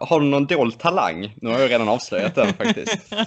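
Against noticeable background noise, a man talks at a fairly quick pace in a fairly high pitch with very wide pitch swings. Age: 20s. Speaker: podcast co-host, archer. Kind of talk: casual chat.

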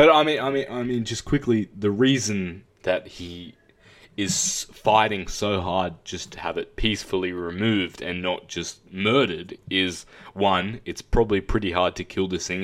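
A man with an Australian accent speaks at a moderate pace in a fairly low pitch, with ordinary pitch variation and big swings in loudness. The recording is very clean, with a silent background. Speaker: podcast co-host, film reviewer. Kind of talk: casual chat.

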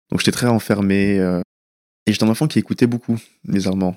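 A man's fairly low-pitched voice at a fairly quick pace, dry and close with no echo. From France, western Paris suburbs. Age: 20s. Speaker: anonymous young patient sharing his story. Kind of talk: personal testimony. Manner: hesitant, with many fillers.

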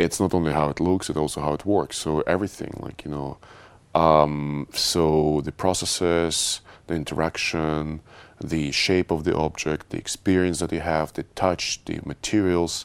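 A man's very deep, low pitch in monotone, flat intonation. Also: moderate pace. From Russia. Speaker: tech executive. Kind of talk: interview. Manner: halting.

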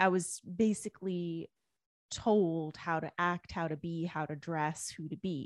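In a very clean recording with a silent background and a dry, close sound with no echo, a woman with a Canadian accent speaks in an unremarkable speaking voice at a fairly low pitch, with fairly even intonation and a fairly slow pace. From Canada, Indian immigrant family. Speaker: author and spiritual coach. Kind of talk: personal testimony in interview.

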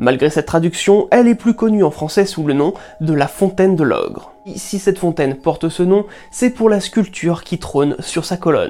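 A woman's medium-pitched voice with lively intonation at a moderate pace, amid noticeable background noise. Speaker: narrator of a curiosities channel. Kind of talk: scripted narration.

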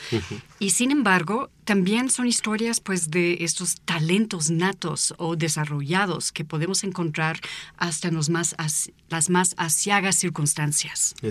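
An unremarkable speaking voice from a woman, fairly low in pitch with ordinary pitch variation, at a fairly slow pace with hardly any pauses, on a very clean recording with a silent background. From United States. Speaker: author and visual artist. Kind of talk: casual chat.

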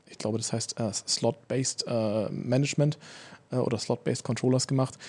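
Speaking at a fairly quick pace, a man with a medium pitch and a dark, mellow tone keeps a fairly even intonation. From Berlin, Germany. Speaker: speech recognition researcher. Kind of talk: casual podcast interview.

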